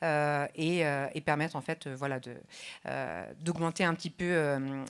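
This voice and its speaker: Fairly even intonation in a very clean recording with a silent background. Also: woman. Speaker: rehabilitation physician. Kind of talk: conference speech. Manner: fast.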